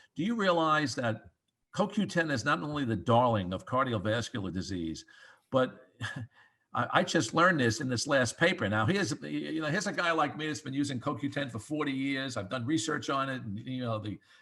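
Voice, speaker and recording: A man with a bright, sharp tone and vocal fry speaks at a medium pitch and fairly quick pace with lively intonation. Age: 70s. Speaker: cardiologist. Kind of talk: interview. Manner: halting; animated.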